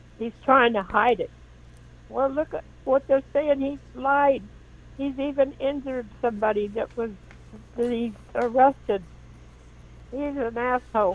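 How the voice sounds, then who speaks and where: A woman with a high pitch talks at a fairly slow pace, leaving long, frequent pauses. Her intonation stays fairly even. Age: 70s. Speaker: caller. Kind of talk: call-in opinion. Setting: phone call.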